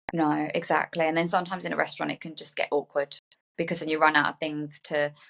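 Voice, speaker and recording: Very deep and low in pitch, a woman's voice rushes at a very fast pace in a monotone, flat intonation, with a dry, close sound and no echo. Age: 30s. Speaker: aviation worker, podcast guest. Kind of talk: casual chat.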